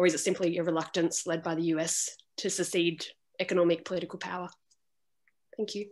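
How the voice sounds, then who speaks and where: With an Australian accent, a woman speaks very fast in a fairly low pitch and a monotone, flat intonation, leaving long, frequent pauses. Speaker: student asking a question. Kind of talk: audience question. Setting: video call. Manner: halting.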